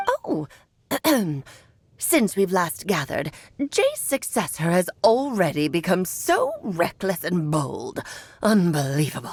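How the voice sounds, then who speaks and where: A female-sounding put-on character voice at medium pitch speaks at a fairly slow pace, with long, frequent pauses. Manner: scolding, haughty.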